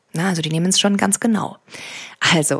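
A woman with a fairly low pitch and a somewhat breathy delivery. The recording is very clean, with a silent background and a dry, close sound with no echo. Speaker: meditation podcast host and coach. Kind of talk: guided meditation. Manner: slow, calm and soothing, with measured pauses.

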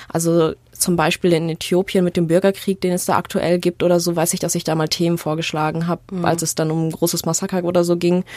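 A woman talks very fast in a fairly low voice with monotone, flat intonation. The sound is dry and close, with no echo. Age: 20s. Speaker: journalism student and podcast co-host. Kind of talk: casual chat.

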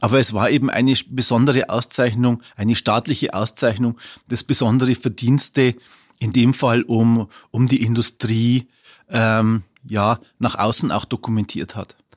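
A man at a fairly slow pace with monotone, flat intonation, in a dry, close sound with no echo on a very clean recording with a silent background. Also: medium pitch for a man. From Upper Palatinate, Bavaria (Weiden). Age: 50s. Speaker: historian and city archivist. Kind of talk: interview. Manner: hesitant, many filler sounds.

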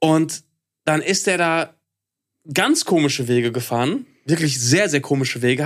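This man has an ordinary speaking voice, fairly high in pitch, with lively intonation at a moderate pace. The recording is very clean, with a silent background. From Ruhr area, Germany (Hattingen), later eastern Westphalia. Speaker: podcast co-host. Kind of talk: casual chat.

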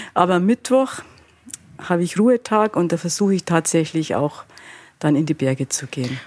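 Recorded with a dry, close sound and no echo, a woman with a Bavarian accent speaks at a fairly low pitch and moderate pace, using lively intonation and long, frequent pauses. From Bavaria, Altötting district. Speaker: innkeeper and fashion designer. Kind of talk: interview.

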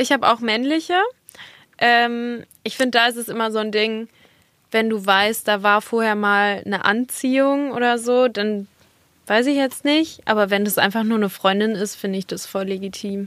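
A woman with a plain, everyday voice speaks at a moderate pace. Her pitch is fairly high, with ordinary variation. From Germany, Dortmund (Ruhr area). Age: 20s. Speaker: model and content creator. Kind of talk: casual chat. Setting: studio.

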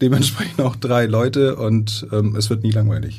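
A fairly low-pitched male voice, dark and mellow in tone, somewhat breathy, at a moderate pace. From Iran, moved to Germany at eleven, raised in Heide. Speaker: operating theatre nursing manager. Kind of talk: interview. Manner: halting, many fillers.

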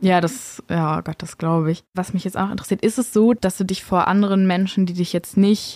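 A woman with a dark, mellow tone and medium pitch speaks with fairly even intonation, the sound dry and close with no echo. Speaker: podcast host and interviewer. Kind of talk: interview conversation.

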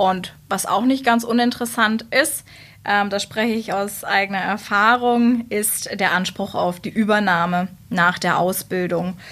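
A woman with a normal speaking voice talks at a fairly slow pace and a medium pitch, with fairly even intonation. The recording is very clean, with a silent background. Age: 20s. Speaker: works council member, former youth trainee representative. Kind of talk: casual interview.

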